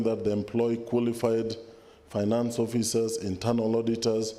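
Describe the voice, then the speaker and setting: In a room with audible echo, a man speaks at a moderate pace and a medium pitch. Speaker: government official. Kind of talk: formal speech. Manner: formal.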